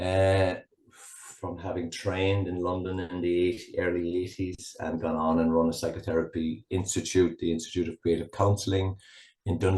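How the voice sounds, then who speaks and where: Over a quiet background, a man with a Cork accent speaks at a moderate pace in a very deep, low, somewhat breathy voice with monotone, flat intonation. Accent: Cork Irish. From Ireland, rural Cork. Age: 60s. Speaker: psychotherapist. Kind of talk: interview conversation. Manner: halting.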